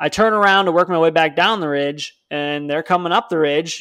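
A plain, everyday voice, this man's is fairly high, with an American accent, ordinary pitch variation and a fairly quick pace, in a very clean recording with a silent background. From northern Illinois (Chicago suburbs). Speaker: hunting podcast co-host. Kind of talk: casual chat.

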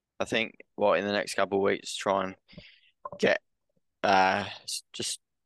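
A man with an Australian accent speaks at a fairly low pitch in a flat monotone. The sound is dry and close, with no echo. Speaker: sports podcast co-host. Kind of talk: casual chat.

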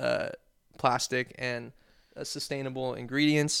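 A man with a West Coast accent, medium in pitch, at a moderate pace. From Oregon, near Portland (Wilsonville). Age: 20s. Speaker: podcast guest. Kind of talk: casual chat. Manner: laid-back slangy.

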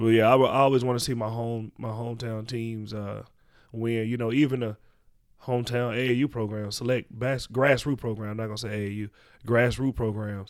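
A man speaks with an American accent at a fairly quick pace. His medium-pitched voice stays monotone and flat. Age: 40s. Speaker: youth basketball coach. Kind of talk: casual interview.

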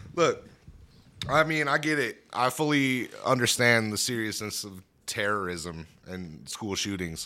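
A man speaks at a fairly slow pace in a bright, sharp tone, his pitch swinging very widely. Long, frequent pauses break up a very clean recording with a silent background. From Wyoming. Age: 30s. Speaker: rapper. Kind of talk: casual chat.

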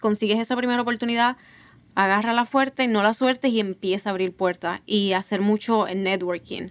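Recorded with a dry, close sound and no echo, a woman uses an ordinary speaking voice, fairly high in pitch, with fairly even intonation at a moderate pace. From Puerto Rico, Ponce. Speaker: PhD student in neuroscience. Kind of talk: casual panel conversation.

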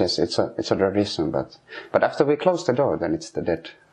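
Man talking at a fairly quick pace with very wide pitch swings, over noticeable background noise. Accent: Finnish. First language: Finnish. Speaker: sauna heater. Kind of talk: interview. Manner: halting.

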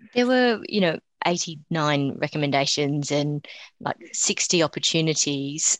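A woman's very deep, low voice with an Australian accent, very slow pace and very even loudness, in dry, close sound with no echo. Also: lively intonation. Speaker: co-host.

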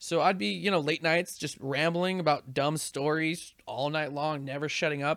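A man speaks at a moderate pace with hardly any pauses, his fairly high voice showing ordinary pitch variation. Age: 30s. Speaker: podcast host and video game streamer. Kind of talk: casual chat.

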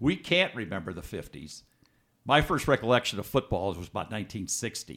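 A man with an American accent speaks in a bright, sharp tone with vocal fry and very wide pitch swings. The recording is very clean, with a silent background. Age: 70s. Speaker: author and former salesman. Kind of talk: casual interview.

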